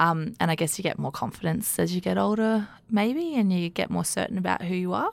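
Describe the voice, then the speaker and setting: A woman talks at a fairly quick pace with an Australian accent. The recording is very clean, with a silent background. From Sydney, Australia. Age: 30s. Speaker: regional development executive. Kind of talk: interview. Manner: hesitant with frequent fillers.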